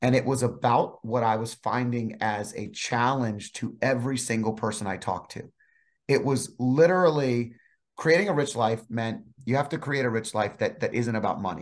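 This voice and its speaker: Here a man speaks at medium pitch and a moderate pace, with ordinary pitch variation. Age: 40s. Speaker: financial advisor and author. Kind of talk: casual interview. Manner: animated.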